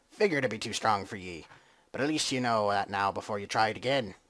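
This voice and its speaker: Putting on a raspy character voice, a man rattles along at a very fast pace with a fairly low pitch. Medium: game stream. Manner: hearty, jovial.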